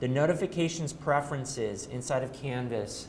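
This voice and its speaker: A man talks with ordinary pitch variation, and audible room echo can be heard around him. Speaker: trainer. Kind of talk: training workshop. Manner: fast.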